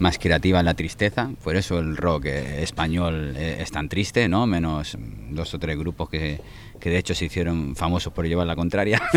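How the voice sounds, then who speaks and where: A man speaks at a fairly slow pace in a very deep, low voice with ordinary pitch variation, over noticeable background noise. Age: 40s. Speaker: singer-songwriter. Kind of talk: interview. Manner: halting, many repetitions and fillers.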